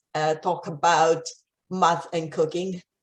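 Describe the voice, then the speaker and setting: A woman with an Italian accent speaks at a very slow pace in a fairly low pitch. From Italy. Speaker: maths outreach coordinator. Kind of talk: conference presentation.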